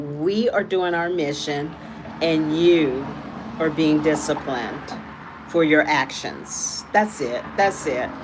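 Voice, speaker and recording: Noticeable background noise sits under a woman whose pitch varies in an ordinary way. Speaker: tarot reader livestreamer. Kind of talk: casual livestream chat. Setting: live stream. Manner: animated, repetitive.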